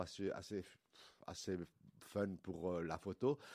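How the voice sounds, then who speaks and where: In a very clean recording with a silent background, this man talks. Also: dry, close sound with no echo. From Belgium, Liège (Wallonia). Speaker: milliner. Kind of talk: interview. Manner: halting, repeats words.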